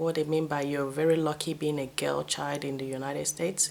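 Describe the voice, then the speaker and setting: A woman speaks with a Nigerian accent. Noticeable background noise runs behind her. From Nigeria, Benin City. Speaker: vlogger. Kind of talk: casual storytelling vlog. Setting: at home. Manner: animated.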